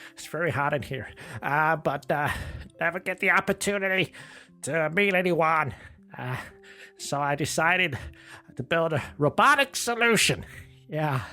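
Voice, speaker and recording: A man speaks in a put-on character voice with a fairly high pitch, at a moderate pace. Long pauses come often, and faint music plays in the background. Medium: comedy sketch. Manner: hesitant, stammering, filler-heavy.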